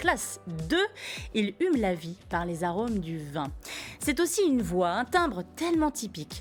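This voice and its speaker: With music in the background, a woman speaks at a fairly slow pace and medium pitch, making very wide pitch swings and taking long, frequent pauses. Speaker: TV interview host. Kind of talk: TV talk show host introduction.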